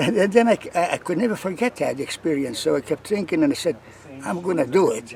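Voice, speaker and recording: This man talks at a very fast pace in a high pitch, his voice making very wide pitch swings. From Lithuania. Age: 80s+. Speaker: long-distance hiker. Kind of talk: interview. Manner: halting, many fillers and repeats.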